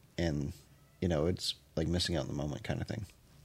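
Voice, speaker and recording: A man talks at a very fast pace with vocal fry. His pitch is very deep and low. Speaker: podcast co-host. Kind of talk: casual chat.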